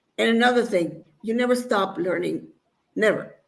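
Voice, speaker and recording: Using vocal fry, a woman speaks at a moderate pace. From Mexico. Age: 60s. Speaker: bodybuilder. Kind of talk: interview. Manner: halting.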